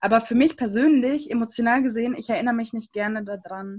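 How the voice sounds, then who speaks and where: A woman with a normal speaking voice talks at a fairly quick pace, her fairly high pitch held in fairly even intonation. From Germany, came from Siberia at age 3-4. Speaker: church youth podcast co-host. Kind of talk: casual chat.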